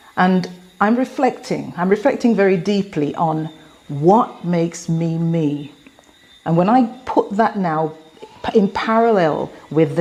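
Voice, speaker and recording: Her English accent marks this woman's medium-pitched voice. She speaks at a fairly slow pace with ordinary pitch variation. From England. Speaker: motivational speaker. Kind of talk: motivational talk.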